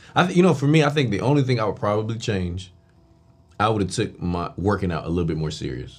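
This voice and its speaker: A man at a very fast pace, fairly low in pitch, with very wide pitch swings. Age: 30s. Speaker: podcast host. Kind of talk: casual interview.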